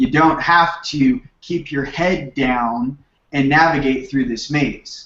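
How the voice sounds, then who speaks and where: A man speaks with a Californian accent in a fairly high voice. His pitch variation is ordinary. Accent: Californian surfer dude. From Southern California (Manhattan Beach). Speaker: spiritual teacher. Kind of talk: radio interview.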